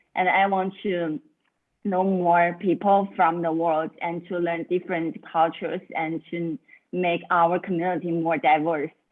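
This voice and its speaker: A woman's fairly low, monotone voice with flat intonation, a fairly slow pace and a Chinese accent. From China. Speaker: student volunteer. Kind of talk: self-introduction in online meeting. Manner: halting.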